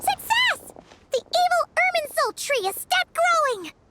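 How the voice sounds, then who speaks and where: A squeaky, put-on character voice at an extremely high pitch. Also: moderate pace. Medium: video game. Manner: gentle, earnest.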